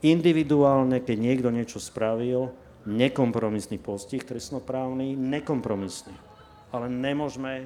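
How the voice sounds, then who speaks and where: Here a man has an ordinary speaking voice at medium pitch. He talks at a moderate pace with ordinary pitch variation. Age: 60s. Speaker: lawyer. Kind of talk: panel discussion.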